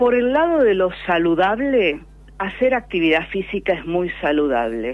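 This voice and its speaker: Speaking at a medium pitch and a fairly slow pace, the woman's voice moves in very wide pitch swings. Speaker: pulmonologist. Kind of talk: radio interview answer. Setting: phone line.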